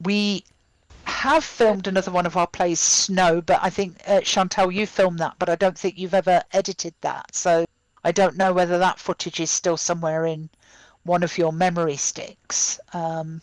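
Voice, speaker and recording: On a very clean recording with a silent background, a woman with a British accent speaks at a moderate pace and fairly low pitch, her intonation monotone and flat, the sound dry and close with no echo. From UK. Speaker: playwright and theatre director. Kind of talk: casual panel discussion. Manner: halting, many fillers.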